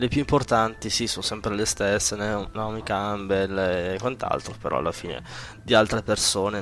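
A man with a fairly low pitch and a fairly bright tone speaks at a moderate pace with ordinary pitch variation.

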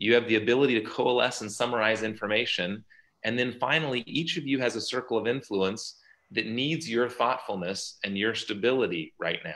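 A man's bright, sharp voice at a fairly quick pace with ordinary pitch variation over a quiet background. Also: medium pitch for a man. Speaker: orthopedic surgeon. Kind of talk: webinar presentation. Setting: video call. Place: home room. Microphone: video call.

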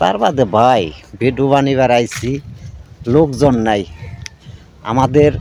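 This is an ordinary speaking voice. Its pitch variation is ordinary too. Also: man, medium pitch for a man. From Bangladesh, Gazipur near Dhaka. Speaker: video content creator. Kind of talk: casual vlog talk to camera. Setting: outdoors in a rice field.

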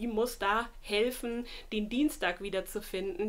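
A woman's very slow speech with ordinary pitch variation. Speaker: book vlogger. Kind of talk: casual vlog chat. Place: home room.

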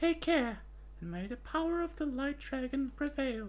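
A woman puts on a character voice pitched high. She speaks at a moderate pace. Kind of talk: commentary reading game text.

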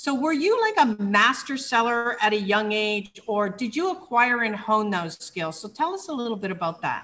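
A woman talks at a moderate pace with a fairly high pitch and lively intonation. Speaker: online show host and entrepreneur. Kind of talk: interview. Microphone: webcam.

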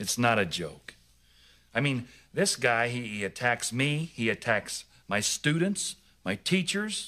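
A man's bright, sharp tone. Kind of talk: scripted sitcom dialogue. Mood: defensive, increasingly agitated. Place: shop.

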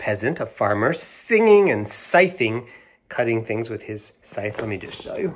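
Somewhat breathy, a man speaks at a fairly slow pace with very wide pitch swings. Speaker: children's book read-aloud host. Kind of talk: storytelling read-aloud to children. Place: home room. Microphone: phone near.

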